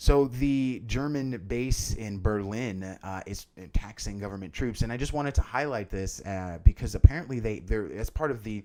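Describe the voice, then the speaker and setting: A man with a dark, mellow tone speaks at medium pitch and a moderate pace, with ordinary pitch variation. His loudness swings widely, and there are hardly any pauses. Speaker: podcast host. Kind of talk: solo news commentary podcast.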